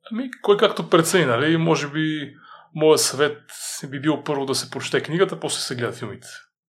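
A man with a normal speaking voice talks at a fairly quick pace and a fairly high pitch. His loudness swings widely while his pitch varies in an ordinary way. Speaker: author and fitness trainer. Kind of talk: interview.

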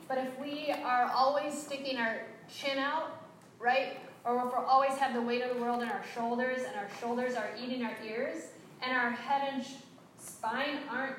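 A woman's high-pitched speech comes with audible room echo. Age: 50s. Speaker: yoga teacher trainer. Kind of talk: workshop instruction. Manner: animated.

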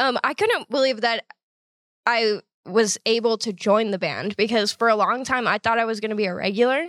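In a very clean recording with a silent background and a dry, close sound without echo, a woman with a plain, everyday voice speaks at a moderate pace, her fairly high pitch showing ordinary variation. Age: 20s. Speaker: comedian. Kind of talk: casual chat. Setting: studio.

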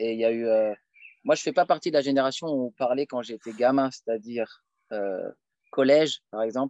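Against a quiet background, a man speaks at a moderate pace with medium pitch and ordinary pitch variation, the sound dry and close with no echo. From France, Paris suburbs. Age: 30s. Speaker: lecturer on Islam. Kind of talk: casual Q&A interview. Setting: outdoors, countryside.

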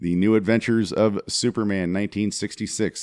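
At a moderate pace, a man talks in an unremarkable speaking voice, fairly low in pitch, with a dry, close sound and no echo. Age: 40s. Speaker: podcast co-host. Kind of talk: casual chat.

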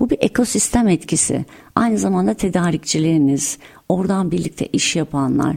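A woman's fairly low voice with very wide pitch swings, very even loudness and a moderate pace, amid noticeable background noise. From Antalya, Turkey. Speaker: tech company founder and CEO. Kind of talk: interview.

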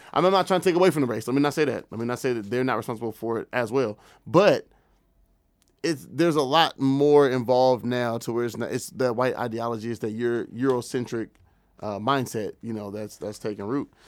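A plain, everyday voice from a man with an American accent, medium pitch, ordinary pitch variation and a fairly quick pace, on a very clean recording with a silent background. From US Pacific Northwest, Tacoma area. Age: 20s. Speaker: podcast host. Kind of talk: casual chat.

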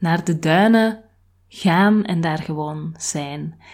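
A woman with a fairly low pitch and fairly even intonation is captured in a very clean recording with a silent background. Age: 30s. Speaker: podcast host. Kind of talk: personal reflective monologue.

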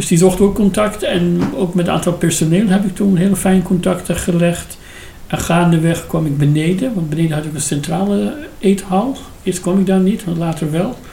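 Against noticeable background noise and audible room echo, a man talks in a high pitch with ordinary pitch variation. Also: moderate pace. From Iran. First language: Persian (speaking Dutch). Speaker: former judge and politician, refugee. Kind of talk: interview.

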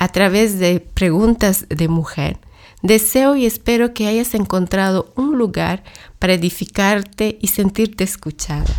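A woman with an unremarkable speaking voice, medium pitch, ordinary pitch variation and a fairly slow pace, on a very clean recording with a silent background. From Latin America. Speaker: podcast host and church ministry worker. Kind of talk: scripted monologue.

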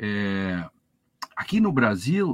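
Recorded with a dry, close sound and no echo, a man's voice moves through very wide pitch swings. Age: old. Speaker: law professor. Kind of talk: live TV panel discussion.

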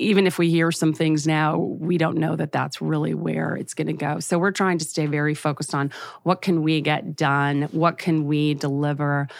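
Fairly even intonation at a moderate pace, with hardly any pauses. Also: woman, very deep, low pitch for a woman. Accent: American. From US West Coast, Los Angeles. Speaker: advertising trade association executive. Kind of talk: interview.

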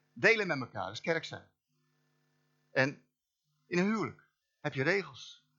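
A high-pitched man at a moderate pace, with very wide pitch swings, big swings in loudness and long, frequent pauses. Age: 60s. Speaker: guest preacher. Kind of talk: sermon. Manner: informal, animated; halting with repetitions.

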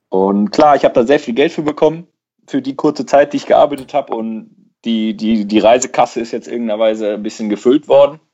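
A man with medium pitch speaks fairly quickly in a normal speaking voice, his pitch varying in an ordinary way. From Germany, Schwelm (Ruhr area, NRW). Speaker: podcast host. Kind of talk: casual chat.

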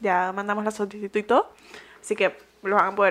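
At a fairly quick pace comes an unremarkable speaking voice. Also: woman. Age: 20s. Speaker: podcast co-host. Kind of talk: casual chat.

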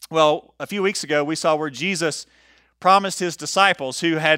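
A man's bright, sharp voice at a fairly high pitch comes through on a very clean recording with a silent background. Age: 40s. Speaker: pastor. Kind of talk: sermon. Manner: casual with frequent fillers.

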